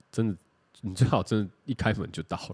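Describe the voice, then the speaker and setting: Using an ordinary speaking voice, a man talks fairly quickly at a fairly low pitch with ordinary pitch variation. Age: 30s. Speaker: podcast co-host. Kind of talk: casual chat.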